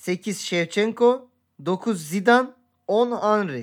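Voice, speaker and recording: Very slowly and with lively intonation, a man speaks at a high pitch in a very clean recording over a silent background. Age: 30s. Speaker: podcast co-host. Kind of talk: casual chat.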